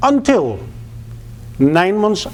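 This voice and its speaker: A man with a Dutch accent talks at a moderate pace amid noticeable background noise. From Netherlands. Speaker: public speaker, former flight school owner. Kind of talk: public speech.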